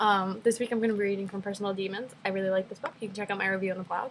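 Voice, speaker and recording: At a medium pitch, this woman's voice comes out somewhat breathy. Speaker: book blogger. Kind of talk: casual chat. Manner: fast.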